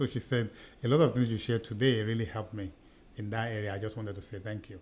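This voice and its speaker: A man with a Nigerian accent at a very fast pace, medium pitch, somewhat breathy, with fairly even intonation. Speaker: podcast co-host, seminar trainer. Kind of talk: casual chat.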